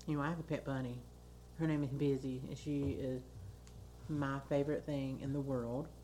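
With an American accent, a woman speaks at a moderate pace in a very deep, low pitch and a dark, mellow tone, her intonation monotone and flat, with long, frequent pauses and audible room echo. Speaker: podcast co-host. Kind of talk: casual chat.

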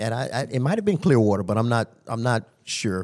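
With an American accent, a man speaks at a fairly quick pace and medium pitch in a plain, everyday voice. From Tampa, Florida. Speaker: jail lieutenant. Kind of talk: casual interview.

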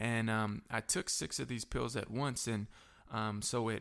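A man with a Southern US accent speaks with fairly even intonation on a very clean recording with a silent background. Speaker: pastor and recovery ministry director. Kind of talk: testimony.

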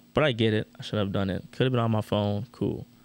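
With a plain, everyday voice and an American accent, a man speaks at a fairly quick pace, his fairly low pitch showing ordinary variation. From Orlando, Florida. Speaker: podcast co-host, medical field worker. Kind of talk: casual chat.

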